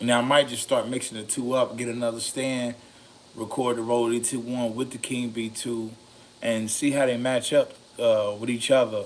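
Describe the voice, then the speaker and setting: A man speaks at a medium pitch. Noticeable background noise sits behind him. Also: moderate pace. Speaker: mic reviewer, video creator. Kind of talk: casual review talk. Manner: halting, many fillers.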